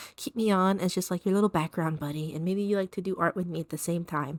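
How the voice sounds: At a fast pace, a woman speaks with medium pitch and ordinary pitch variation in a dry, close sound with no echo.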